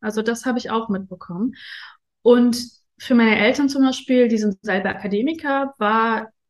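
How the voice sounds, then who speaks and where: A woman's voice of fairly high pitch with ordinary pitch variation. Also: moderate pace. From Afghanistan, raised in Germany from age ten. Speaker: interview guest on luxury and spirituality. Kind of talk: casual interview. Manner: hesitant, many fillers.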